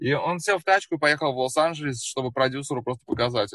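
Here is a normal speaking voice from a man at a medium pitch, moving at a fairly quick pace with ordinary pitch variation. The sound is dry and close with no echo, set against a quiet background. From Russia, Samara. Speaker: musician. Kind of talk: casual chat.

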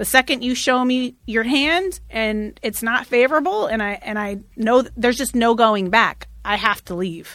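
A woman with an American accent uses a normal speaking voice, fairly high in pitch, at a moderate pace with hardly any pauses in a very clean recording with a silent background. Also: ordinary pitch variation. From Oregon, US (Eugene). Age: 40s. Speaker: radio personality. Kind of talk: casual interview conversation. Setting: studio.

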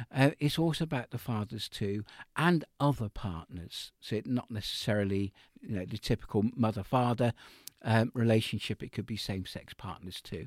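In a dry, close recording with no echo, a man of medium pitch talks at a moderate pace with ordinary pitch variation. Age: 60s. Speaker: mental health researcher. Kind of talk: interview. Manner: halting.

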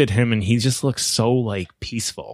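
In an ordinary speaking voice, a man of medium pitch talks at a moderate pace with fairly even intonation, recorded very cleanly against a silent background with a dry, close sound and no echo. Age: 40s. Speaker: physical therapist and real estate investor. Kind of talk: casual interview chat.

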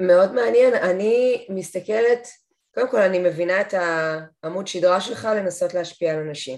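Her intonation lively and her pitch medium, a woman speaks at a fairly slow pace. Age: 40s. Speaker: podcast host. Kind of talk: interview.

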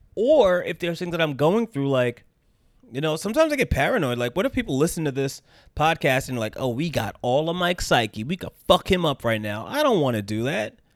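A fairly quick-talking man with an American accent, fairly high pitch and very wide pitch swings, on a very clean recording with a silent background and a dry, close sound with no echo. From United States. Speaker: podcast host. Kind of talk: casual solo monologue. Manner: casual, hesitant with fillers.

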